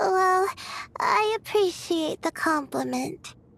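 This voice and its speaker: A woman puts on a character voice with an extremely high pitch, speaking at a fairly slow pace. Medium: video game. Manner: hesitant, soft-spoken, with frequent "uh".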